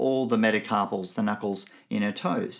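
With an Australian accent, a man talks at a moderate pace using lively intonation. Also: very clean recording, silent background. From Nigeria and Benin, then Melbourne as a teenager. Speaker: theology lecturer. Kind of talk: recorded teaching talk.

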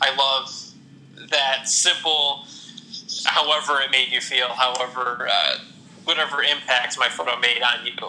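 Speaking in a Midwestern American accent, a man with a medium pitch and fairly even intonation talks at a fairly slow pace with long, frequent pauses, over noticeable background noise. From Ohio, Toledo area. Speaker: Instagram photographer. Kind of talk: interview. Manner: halting, with many repeated words and fillers.

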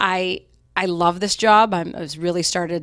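The recording is very clean with a silent background. A woman with a plain, everyday voice speaks at a fairly low pitch and a moderate pace in an American accent. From Utah, Salt Lake City. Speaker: mortgage loan officer. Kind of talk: interview. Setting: office.

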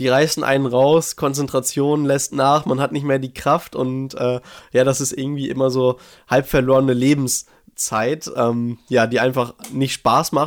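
The man's medium-pitched voice moves at a fairly slow pace with monotone, flat intonation. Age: 20s. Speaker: diabetes youtuber and media student. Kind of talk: interview. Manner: hesitant with many fillers.

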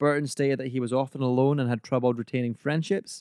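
Heard in a dry, close sound with no echo, a man with an ordinary speaking voice keeps a medium pitch and fairly even intonation. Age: 20s. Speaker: podcast host. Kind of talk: casual chat.

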